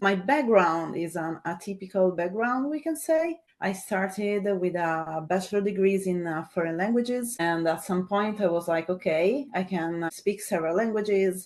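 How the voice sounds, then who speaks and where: The speaker has an Italian accent and hardly any pauses. The pitch varies in an ordinary way. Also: woman, medium pitch for a woman, moderate pace. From Italy. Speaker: data scientist. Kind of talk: webinar interview.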